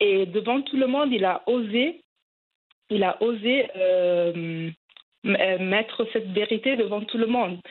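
A woman talks at a medium pitch, and her pitch varies in an ordinary way. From Italy, of Cameroonian descent. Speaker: journalist. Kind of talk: interview. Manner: hesitant, many fillers.

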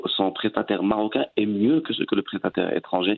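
At a moderate pace, a man with a fairly low pitch talks with fairly even intonation. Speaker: entrepreneur and web consultant. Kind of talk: interview. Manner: halting.

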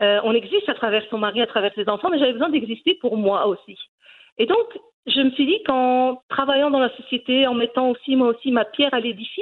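A high-voiced woman at a moderate pace, with lively intonation. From Brussels, Belgium, Moroccan parents. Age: 40s. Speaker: cooking YouTuber. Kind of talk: interview. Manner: halting, many repetitions and fillers.

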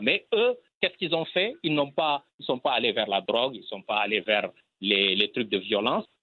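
With lively intonation, a man speaks at a moderate pace in a normal speaking voice of medium pitch. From Senegal. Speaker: filmmaker. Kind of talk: interview.

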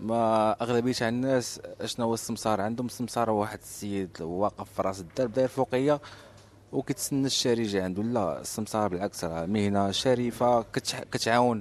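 This man's pitch sits in the medium range. Its variation is ordinary. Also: moderate pace. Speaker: real estate agent. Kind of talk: interview. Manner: casual.

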